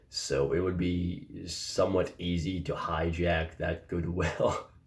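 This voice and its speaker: Very slowly and in a monotone, flat way, a man speaks with a very deep, low pitch and a somewhat breathy quality. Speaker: philosophy commentator. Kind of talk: casual commentary to camera. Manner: slightly mumbled.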